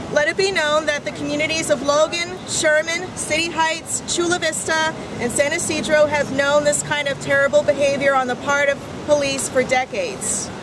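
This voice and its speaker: A woman speaks at a high pitch. Noticeable background noise is present. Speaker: community activist. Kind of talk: prepared speech read aloud at a public assembly. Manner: formal.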